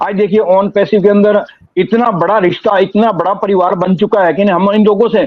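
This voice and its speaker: A man with a high-pitched voice speaks with fairly even intonation. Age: 60s. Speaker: online business community member. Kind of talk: testimony. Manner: emotional, earnest.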